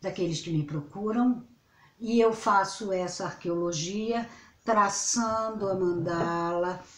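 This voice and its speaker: In a room with audible echo, a woman at medium pitch talks at a very slow pace with ordinary pitch variation. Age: 60s. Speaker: astrologer. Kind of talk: casual vlog monologue. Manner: rambling, self-interrupting.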